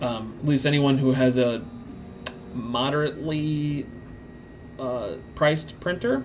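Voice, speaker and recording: Amid noticeable background noise and audible room echo, a man with a medium pitch talks at a fairly slow pace with fairly even intonation and long, frequent pauses. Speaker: 3D printing maker and YouTuber. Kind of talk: live stream tutorial. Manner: halting with many fillers; casual, rambling.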